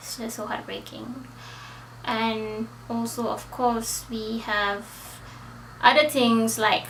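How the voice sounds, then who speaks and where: A woman with a non-native accent speaks at a very slow pace, her pitch fairly high. Audible room echo surrounds her voice. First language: not English. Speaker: book vlogger. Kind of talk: casual book review monologue. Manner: hesitant, with fillers.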